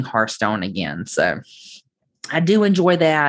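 With a Southern US accent, a woman talks at a fairly slow pace in a fairly low pitch.

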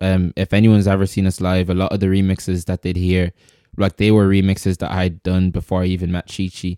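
In an Irish accent, a man talks at a very fast pace with a very deep, low pitch and a dark, mellow tone in a monotone, flat intonation. The recording is very clean with a silent background and a dry, close sound with no echo. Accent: Irish (Louth). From Ireland, Dundalk, County Louth. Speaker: musician. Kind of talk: casual chat. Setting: studio.

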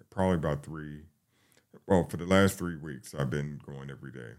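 With a New York accent, a man speaks at a very deep, low pitch with ordinary pitch variation. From New York, the Bronx. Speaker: firefighter. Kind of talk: interview. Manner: halting.

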